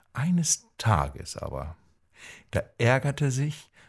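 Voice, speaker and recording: In a very clean recording with a silent background, a man with a medium pitch and a gentle, somewhat breathy tone swings his pitch very widely. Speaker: coach and podcaster. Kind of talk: bedtime-style fairy tale telling, told calmly and warmly to listeners. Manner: slow, gentle, storytelling cadence.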